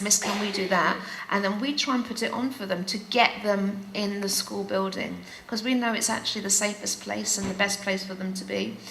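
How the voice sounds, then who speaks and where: With a London accent, a woman talks at a moderate pace and medium pitch in a monotone, flat intonation, with audible room echo and noticeable background noise. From England, UK, Greek Cypriot family. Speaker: teacher. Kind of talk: panel conversation. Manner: halting, many fillers.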